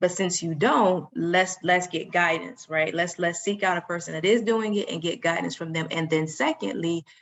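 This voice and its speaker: A woman's fairly low voice at a moderate pace, with ordinary pitch variation and noticeable background noise. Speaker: real estate attorney and business coach. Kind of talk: webinar coaching talk. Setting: video webinar from home, laptop. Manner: soft-spoken.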